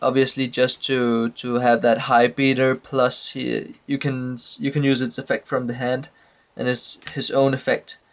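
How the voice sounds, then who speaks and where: In a Danish accent, a man talks at a medium pitch and a moderate pace. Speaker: trading card game player. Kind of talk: casual talk to camera. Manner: hesitant, many fillers.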